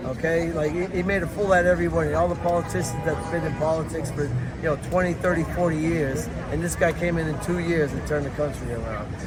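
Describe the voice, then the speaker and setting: Speech comes at a very fast pace in a New York accent. Audible room echo and noticeable background noise fill the recording. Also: man. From New York City, Lower East Side Manhattan. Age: 60s. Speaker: Trump supporter at a rally. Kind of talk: street interview.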